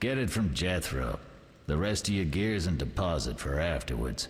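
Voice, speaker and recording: A man uses a put-on character voice with a very deep, low pitch and very wide pitch swings. His loudness stays very even at a moderate pace. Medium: video game. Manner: scornful, commanding.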